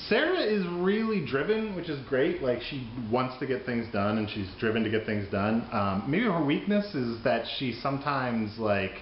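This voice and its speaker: A man with a fairly high pitch speaks at a moderate pace, his voice making very wide pitch swings. Room echo is audible, and background noise is noticeable. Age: 30s. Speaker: trivia writer. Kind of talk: interview.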